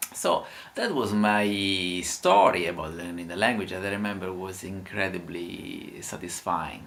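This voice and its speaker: Someone with an Italian accent speaks fairly slowly with fairly even intonation, amid noticeable background noise and audible room echo. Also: man, very deep, low pitch for a man. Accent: Italian accent in English, imperfect. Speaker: language teacher. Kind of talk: casual talk to camera. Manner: halting, many filler sounds.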